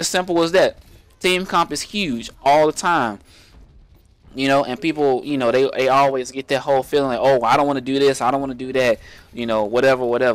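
A plain, everyday voice from a man with fairly high pitch, ordinary pitch variation and a fairly quick pace. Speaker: gaming YouTuber. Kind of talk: tutorial. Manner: casual, rambling with filler words.

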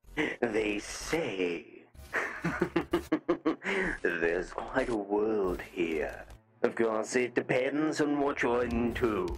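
Using a put-on character voice at medium pitch, a man talks at a very slow pace with long, frequent pauses. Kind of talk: in-character voice trolling in a social VR game.

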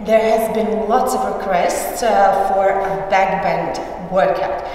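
A woman talks with ordinary pitch variation amid strong room echo. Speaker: pole dance instructor. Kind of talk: tutorial. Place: gym. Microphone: camera far.

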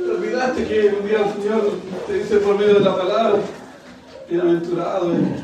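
A man with a high pitch speaks at a moderate pace in a flat monotone, leaving long, frequent pauses, with audible room echo and noticeable background noise. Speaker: preacher. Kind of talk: sermon. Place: church.

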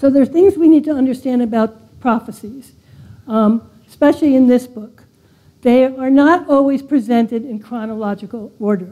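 A woman with an American accent speaks at a moderate pace in a high voice with ordinary pitch variation. Her tone is dark and mellow. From California. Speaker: preacher. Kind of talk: sermon. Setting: church. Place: church. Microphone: lapel.

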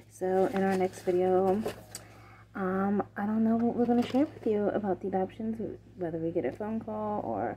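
A woman's dark, mellow tone at a medium pitch

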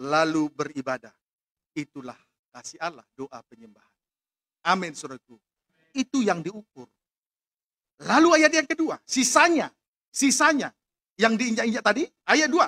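A man uses a raised, projected voice with a bright, sharp tone and a high pitch, swinging very widely in pitch and greatly in loudness. He talks at a moderate pace with long, frequent pauses over a quiet background. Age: 40s. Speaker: pastor. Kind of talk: sermon. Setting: church with congregation, also live-streamed. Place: church. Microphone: podium.

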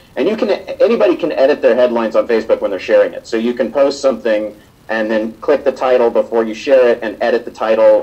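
Very fast speech from a man, with noticeable background noise around it. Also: hardly any pauses. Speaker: social media campaigner. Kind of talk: panel presentation. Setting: live event with audience.

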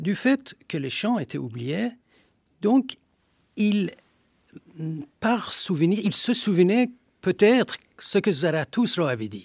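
Lively intonation carries a very slow delivery in a Persian accent, with dry sound, no echo and a quiet background. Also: man. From Iran, Shiraz; Iran. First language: Persian (speaking French). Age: 60s. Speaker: historian. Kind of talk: radio interview. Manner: halting. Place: studio.

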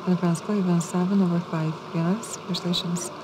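A soft-spoken woman with a relaxed tone over noticeable background noise. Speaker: live baccarat dealer. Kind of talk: casino dealer announcing game rounds. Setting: live casino table. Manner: soft-spoken, relaxed. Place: studio.

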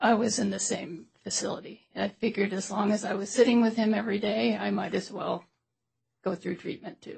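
A woman with an American accent and vocal fry speaks fairly quickly at a medium pitch, her intonation fairly even. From US Midwest, St. Louis. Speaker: trial witness, parent. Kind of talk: witness testimony. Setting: courtroom.

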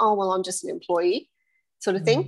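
A woman's intonation stays fairly even, and the background is quiet. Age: 50s. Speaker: bookkeeper; guest. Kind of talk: casual chat. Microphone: video call.

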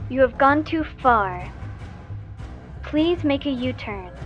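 A female-sounding voice performs a put-on character voice at a fairly slow pace. Clear music plays in the background. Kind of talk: GPS navigation prompt. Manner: flat, mechanical, repetitive.

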